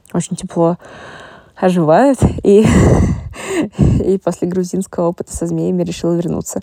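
The recording is a dry, close sound with no echo. This woman talks at a fairly slow pace. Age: 20s. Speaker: marketing specialist. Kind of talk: personal voice diary.

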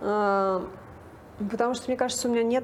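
A woman's fairly high pitch with ordinary pitch variation, an ordinary speaking voice. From Russia, Nizhny Novgorod. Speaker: casting director. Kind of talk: interview.

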